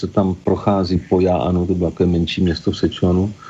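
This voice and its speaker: A man speaks with a very deep, low pitch. Background noise is noticeable. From Czechia, Pardubice. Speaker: botanist and Czech teacher. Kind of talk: interview.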